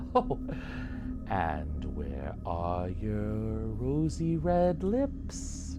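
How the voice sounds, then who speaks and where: A man's put-on character voice at a very slow pace over loud background noise. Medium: solo performance. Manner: forced politeness over fear.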